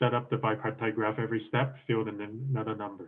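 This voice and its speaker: A man with a medium pitch talks at a fairly quick pace in a monotone, flat intonation. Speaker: programming contest coach. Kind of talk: lecture. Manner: fast.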